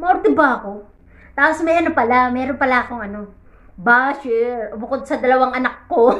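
A woman with a high pitch and ordinary pitch variation speaks at a moderate pace with big swings in loudness. The background is quiet. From Philippines. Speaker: overseas domestic worker and vlogger; vlogger. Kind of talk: casual vlog. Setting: in her bedroom, lying in bed. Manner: animated. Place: home room. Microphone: phone near.

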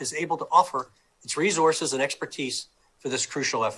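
Bright and sharp in tone, a man's voice races along at a very fast pace. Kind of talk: press conference statement. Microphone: video call.

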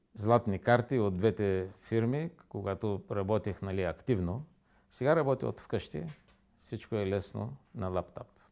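Against a quiet background, a man with a fairly low pitch speaks at a fairly slow pace with lively intonation. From Bulgaria, Varna; Bulgaria. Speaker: interview guest. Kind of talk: studio interview. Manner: halting. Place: studio.

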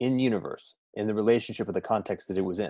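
Over a quiet background, a man speaks at a very fast pace. His tone is dark and mellow, with ordinary pitch variation. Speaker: guest. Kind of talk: conversational storytelling. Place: home room.

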